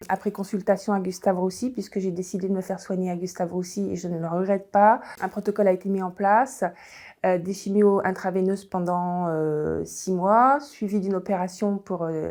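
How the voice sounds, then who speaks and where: On a very clean recording with a silent background, a woman with a dark, mellow tone speaks at a medium pitch and moderate pace, her intonation fairly even. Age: 60s. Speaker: cancer patient. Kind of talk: testimony. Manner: halting, many hesitations.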